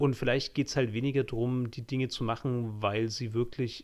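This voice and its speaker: A man speaks in an ordinary speaking voice at a medium pitch, his intonation fairly even. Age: 30s. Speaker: podcast host, graphic designer. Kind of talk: casual chat.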